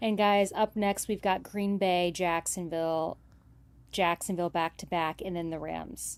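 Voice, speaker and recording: A woman with a normal speaking voice talks fairly slowly at a fairly low pitch with fairly even intonation in a very clean recording with a silent background. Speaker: sports streamer. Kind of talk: live draft commentary.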